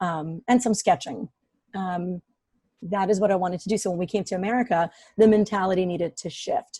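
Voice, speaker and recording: A woman talks at a fairly quick pace in a dark, mellow tone that is somewhat breathy, with fairly even intonation. The recording is very clean, with a silent background. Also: medium pitch for a woman. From Ukraine. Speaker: business operations professional. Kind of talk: interview conversation. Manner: hesitant, many fillers.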